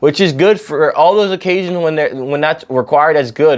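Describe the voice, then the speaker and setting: We hear a man with an ordinary speaking voice. His pitch is fairly high, with ordinary pitch variation. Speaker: film reviewer. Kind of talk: casual monologue review. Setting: indoors at home. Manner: rambling with many fillers.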